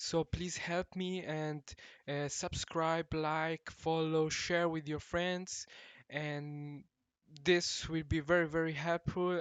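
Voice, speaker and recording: A man with a non-native accent speaks at a very slow pace. His fairly high voice stays monotone and flat. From Morocco. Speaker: language teacher. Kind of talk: video introduction. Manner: halting, many fillers.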